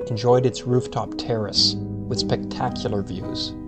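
A man's voice over music in the background. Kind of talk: slideshow history narration.

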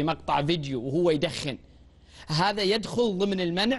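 At a moderate pace, a man is talking. His pitch sits high. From Saudi Arabia. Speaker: TV talk show host. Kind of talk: TV news magazine interview. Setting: studio. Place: studio. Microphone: lapel.

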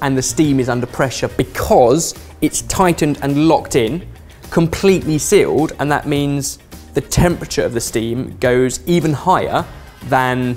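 Moderate pace over faint music in the background. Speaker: presenter. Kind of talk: tutorial. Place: studio. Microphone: lapel.

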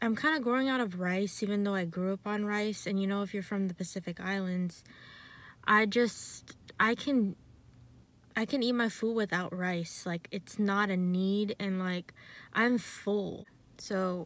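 With fairly even intonation, a woman speaks at a fairly slow pace in a dry sound with no echo. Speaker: vlogger. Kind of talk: casual vlog chat. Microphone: phone near.

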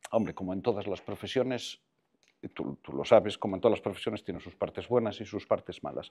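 Fairly low-pitched with a dark, mellow tone and vocal fry, a man talks at a very fast pace with ordinary pitch variation and big swings in loudness. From Costa da Morte, Galicia; raised in A Coruña; Galicia. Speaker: film director, screenwriter and voice actor; voice actor. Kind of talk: casual interview chat. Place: home room. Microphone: lapel.

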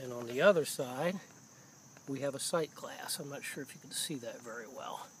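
The man's pitch is high. He keeps a moderate pace with ordinary pitch variation.

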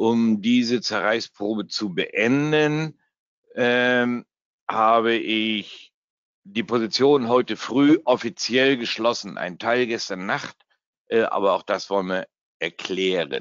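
His pitch moves with ordinary variation. This man's pace is very slow. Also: medium pitch for a man. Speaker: forex trader and trading educator. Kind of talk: live trading webinar. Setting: webinar from home. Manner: casual, joking.

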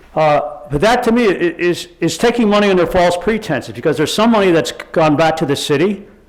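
A man at a high pitch with lively intonation and a fairly quick pace, over noticeable background noise. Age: 70s. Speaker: public commenter at city council meeting. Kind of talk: public comment. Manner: halting, repetitive.

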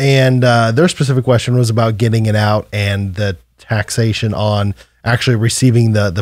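A man speaks at a medium pitch and a moderate pace with fairly even intonation. The sound is dry with no echo, and the background is quiet. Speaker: tax advisor. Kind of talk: radio show discussion. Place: studio. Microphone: studio mic.

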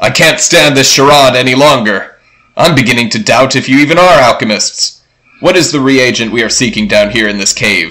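A man puts on a character voice pitched at a medium level. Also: fairly quick pace. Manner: pompous, irritated, then scared.

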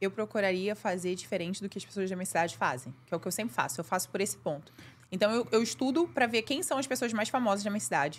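A woman talks at a very fast pace. Her voice has vocal fry and swings very widely in pitch. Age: 30s. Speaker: makeup artist and beauty course creator; beauty course creator. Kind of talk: casual chat. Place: studio. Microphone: studio mic.

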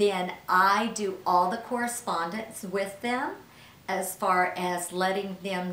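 A woman speaks at a very slow pace with ordinary pitch variation, and the room echo is audible. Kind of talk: interview answer. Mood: friendly, smiling. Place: office.

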